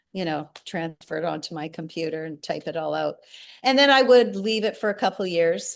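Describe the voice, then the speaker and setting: A woman with an ordinary speaking voice talks at a fairly quick pace, her pitch fairly low and her intonation lively. Her loudness swings widely over a quiet background. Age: 60s. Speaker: singer-songwriter and memoir author. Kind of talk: interview.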